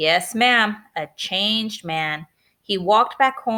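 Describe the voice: With a quiet background, the speaker reads plainly aloud with lively intonation.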